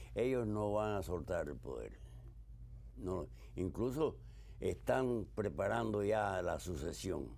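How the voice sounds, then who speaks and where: Vocal fry and very wide pitch swings run through very slow speech with long, frequent pauses. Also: man, very deep, low pitch for a man. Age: 80s+. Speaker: war veteran. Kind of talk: interview.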